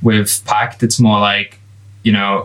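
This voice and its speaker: Very slowly, a man speaks at a fairly low pitch. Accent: English Midlands. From England. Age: 20s. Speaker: product designer. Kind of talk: casual chat.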